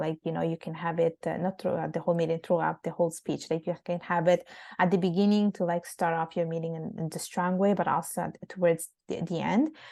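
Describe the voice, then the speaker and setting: At a fairly quick pace, a woman speaks in a fairly low voice with a dark, mellow tone and fairly even intonation against a quiet background. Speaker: public speaking coach, women's platform founder. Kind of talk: interview. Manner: soft-spoken; halting, with many fillers and restarts.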